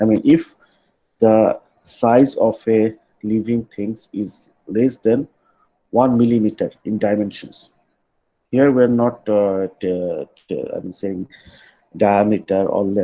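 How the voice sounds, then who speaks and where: Speaking very slowly with long, frequent pauses, a man with a Bengali accent has a dark, mellow tone, a medium pitch and fairly even intonation. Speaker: university lecturer. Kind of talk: lecture. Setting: online class. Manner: halting, many fillers.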